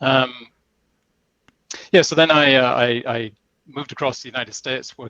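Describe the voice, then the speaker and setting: With vocal fry and a bright, sharp tone, a man talks at medium pitch and a fairly quick pace, with ordinary pitch variation, in a dry, close sound with no echo. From outside North America. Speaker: software industry executive. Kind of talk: interview.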